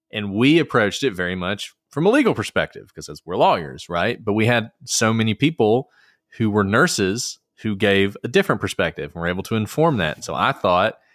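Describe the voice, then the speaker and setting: A man with a Southern US accent speaks at a fairly quick pace in a fairly low voice. The recording is very clean and silent behind him, with a dry, close sound and no echo. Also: lively intonation. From Alabama. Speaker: attorney and podcast host. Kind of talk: casual interview conversation.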